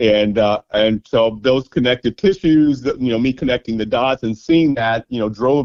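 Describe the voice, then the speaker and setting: This man has an American accent, an unremarkable speaking voice, medium pitch and ordinary pitch variation. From Kansas, Topeka. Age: 60s. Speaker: university graduate. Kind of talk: interview.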